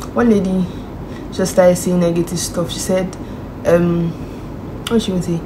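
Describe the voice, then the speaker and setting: Against noticeable background noise and audible room echo, a woman speaks. Her pace is fairly quick and her pitch medium. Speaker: vlogger. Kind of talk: vlog chat. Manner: animated.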